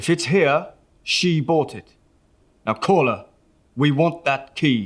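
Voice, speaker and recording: A man puts on a gruff character voice, fairly high in pitch, speaking at a fairly slow pace with ordinary pitch variation. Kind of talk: vintage crime-comic acting. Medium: audio drama. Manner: gruff, clipped tough-guy slang.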